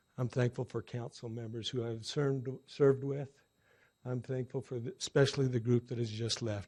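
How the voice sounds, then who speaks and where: A dark, mellow, somewhat breathy voice delivers monotone, flat speech at a moderate pace against a quiet background. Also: man. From Utah. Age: 60s. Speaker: city council member. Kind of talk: inauguration speech.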